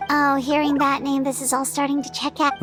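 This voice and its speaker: A cartoonish character voice, female-sounding and high-pitched, over clear background noise. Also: fairly quick pace. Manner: chatty, excitable.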